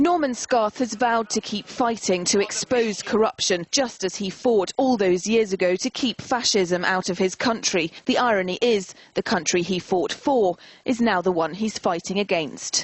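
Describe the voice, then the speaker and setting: Using an ordinary speaking voice, a woman talks at a moderate pace and medium pitch with hardly any pauses. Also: ordinary pitch variation. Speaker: TV news reporter. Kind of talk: TV news report narration.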